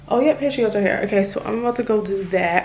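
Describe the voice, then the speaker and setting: Noticeable background noise behind fairly even intonation. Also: woman. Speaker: vlogger. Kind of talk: casual vlog. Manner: whispering.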